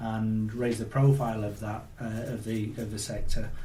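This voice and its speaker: A man at a moderate pace, with audible room echo. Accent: Yorkshire. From Yorkshire. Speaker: automotive industry executive. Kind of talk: interview.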